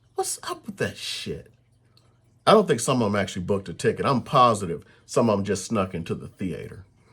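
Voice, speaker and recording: A man with a somewhat breathy voice speaks at a moderate pace in a very clean recording with a silent background. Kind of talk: casual chat.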